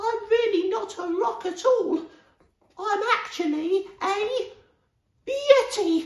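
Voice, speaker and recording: A man puts on a timid character voice at an extremely high pitch, moving at a very slow pace with long, frequent pauses. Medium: read story. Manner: timid, hesitant.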